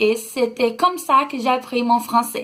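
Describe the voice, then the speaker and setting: This woman has a high-pitched voice with a Brazilian accent. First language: Brazilian Portuguese (speaking French). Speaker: vlogger. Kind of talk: casual vlog talk. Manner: halting, many hesitations.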